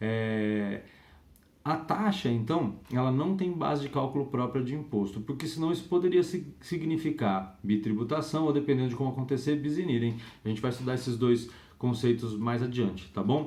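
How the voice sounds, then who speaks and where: A man with a dark, mellow tone speaks with lively intonation, with audible room echo around him. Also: medium pitch for a man, moderate pace. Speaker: law lecturer. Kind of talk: lecture. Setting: home recording.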